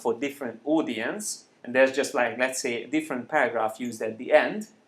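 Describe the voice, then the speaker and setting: A man speaks at a medium pitch with a Hungarian accent. His pace is fairly quick and his pitch varies in an ordinary way. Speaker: software trainer. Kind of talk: tutorial. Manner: hesitant, with frequent fillers.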